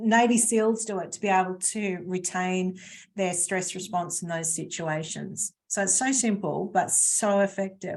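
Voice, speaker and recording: The pace here is fairly slow. It's an unremarkable speaking voice, and its pitch variation is ordinary. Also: woman. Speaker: webinar presenter on stress management. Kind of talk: webinar presentation. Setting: live webinar video call.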